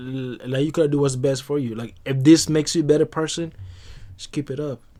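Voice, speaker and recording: A man's fairly high voice with a Congolese accent, a dark, mellow tone, fairly even intonation, big swings in loudness and a fairly quick pace. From DR Congo. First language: not English. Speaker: podcast guest. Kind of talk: casual chat.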